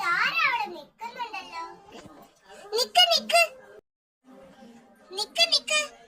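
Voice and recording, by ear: At a very slow pace, an extremely high-pitched cartoonish character voice speaks.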